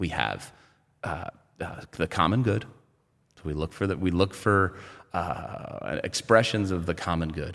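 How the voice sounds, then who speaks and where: Over a silent background on a very clean recording, a man with a very deep, low pitch speaks at a fairly slow pace, with ordinary pitch variation, big swings in loudness and long, frequent pauses. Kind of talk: interview. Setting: studio. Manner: halting, with self-corrections.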